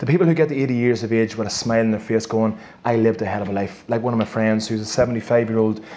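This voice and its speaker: Talking at a very fast pace, a man with a Northern Irish accent has a medium pitch. Noticeable background noise can be heard. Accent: Armagh. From Northern Ireland, County Armagh. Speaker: performance coach and former Gaelic footballer. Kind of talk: live interview before an audience. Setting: stage with audience. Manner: animated.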